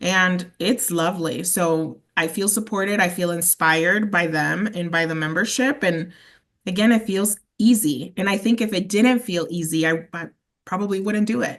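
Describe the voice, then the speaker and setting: With a slight Spanish accent, the speaker sounds animated at a moderate pace, showing ordinary pitch variation against a quiet background. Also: woman, medium pitch for a woman. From Mexico. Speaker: sales representative. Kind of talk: interview.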